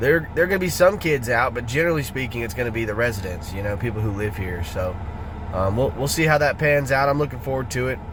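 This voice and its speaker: With a Southern US accent, a man speaks at a very fast pace in an animated tone with very wide pitch swings. Audible room echo and noticeable background noise surround his voice. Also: medium pitch for a man. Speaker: singer-songwriter vlogger. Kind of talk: vlog. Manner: casual, animated.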